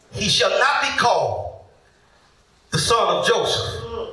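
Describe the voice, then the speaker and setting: Audible room echo and noticeable background noise accompany a man's voice. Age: 40s. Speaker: pastor. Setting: church. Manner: animated, stammering restarts when fired up; rising, rhythmic repetition with shouted prompts to the crowd.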